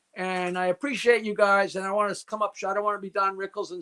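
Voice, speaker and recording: A man with an American accent talks at a very fast pace in a high, bright, sharp, raised and projected voice, with a dry, close sound and no echo. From New York. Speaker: comedian. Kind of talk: casual chat.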